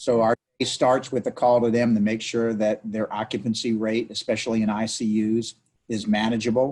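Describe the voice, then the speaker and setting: The speech moves at a moderate pace in a flat monotone. It comes in a New Orleans accent. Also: man, medium pitch for a man. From New Orleans, Louisiana. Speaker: city council member. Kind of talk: interview. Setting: video call.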